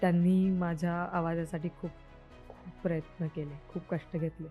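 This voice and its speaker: Music plays in the background. A woman speaks at a fairly low pitch with monotone, flat intonation. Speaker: actress. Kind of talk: interview answer.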